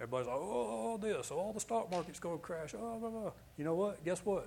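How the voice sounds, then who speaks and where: Dark and mellow in tone, a man speaks at a fairly quick pace with very wide pitch swings. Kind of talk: fervent altar-call prayer, preaching a blessing over a congregation.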